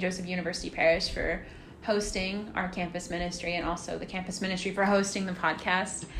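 A woman talks at a fairly quick pace with a medium pitch. Audible room echo and noticeable background noise surround her voice. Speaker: college student podcast co-host. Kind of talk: casual chat.

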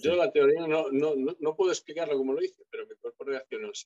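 A man talks at a fairly quick pace in an unremarkable speaking voice, with fairly high pitch and ordinary pitch variation. The sound is dry and close with no echo. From Galicia, Spain. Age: 50s. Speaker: retired bodybuilder. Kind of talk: interview.

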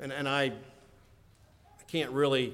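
With audible room echo around him, a man of medium pitch talks at a fairly slow pace. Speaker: preacher. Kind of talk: sermon.

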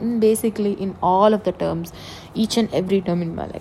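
At a fairly quick pace, a woman with a dark, mellow tone talks in fairly even intonation. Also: medium pitch for a woman.

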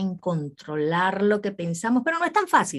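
A woman's ordinary speaking voice, medium in pitch, at a moderate pace over a quiet background. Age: 40s. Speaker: radio host. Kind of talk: interview.

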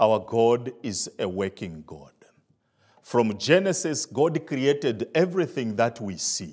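A man with a Zambian accent speaks at a very slow pace in a medium pitch, his pitch swinging very widely. His loudness rises and falls sharply, over a very clean recording with a silent background. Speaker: visiting preacher. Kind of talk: testimony and sermon. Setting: church with audience.

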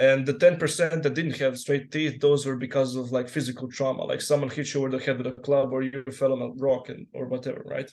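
A man with a Croatian accent uses hardly any pauses. His medium-pitched voice has fairly even intonation. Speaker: guest stranger. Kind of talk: casual chat. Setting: video call.

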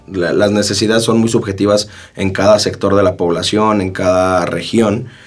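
Noticeable background noise sits under a man speaking with monotone, flat intonation. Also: fairly low pitch for a man, moderate pace. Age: 20s. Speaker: lawyer and young politician. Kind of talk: casual interview. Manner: hesitant, many fillers and repetitions.

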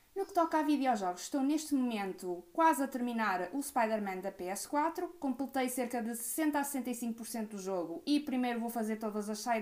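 Speaking at a moderate pace with hardly any pauses, a woman with a fairly high pitch uses lively intonation against noticeable background noise. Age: 20s. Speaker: podcast co-host. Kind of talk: casual chat.

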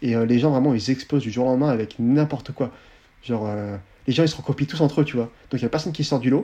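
Speaking at a very fast pace, a man leaves long, frequent pauses. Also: medium pitch for a man, fairly even intonation. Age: 20s. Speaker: Instagram content creator. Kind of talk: casual chat.

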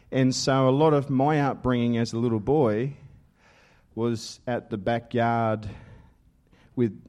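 An Australian accent with a dark, mellow tone and fairly even intonation, over a quiet background. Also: man. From Australia (western New South Wales). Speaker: assistant pastor. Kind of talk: testimony sermon. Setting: church with congregation.

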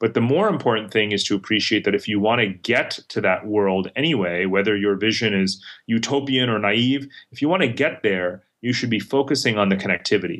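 In an American accent, a man with an unremarkable speaking voice talks at a fairly quick pace, fairly low in pitch, with ordinary pitch variation. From mixed upbringing: India, Middle East, New York, Germany. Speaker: global strategist and author. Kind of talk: interview.

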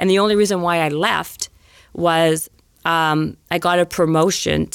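With a Canadian accent, a woman speaks in a very deep, low pitch. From Canada, Winnipeg, Manitoba. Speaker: fitness author and trainer. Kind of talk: casual interview storytelling. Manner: very fast talker; energetic.

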